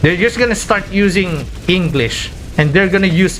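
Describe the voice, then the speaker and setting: A high-pitched man with a non-native accent, amid noticeable background noise. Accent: non-native English accent, retained. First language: Filipino local language. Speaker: game streamer. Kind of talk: casual live-stream chat. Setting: live stream. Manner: casual, simple wording.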